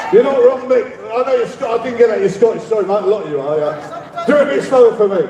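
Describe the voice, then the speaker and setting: Amid noticeable background noise and audible room echo, a man with an extremely high pitch talks very fast with lively intonation. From London. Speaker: rally speaker. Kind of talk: rally speech. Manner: animated.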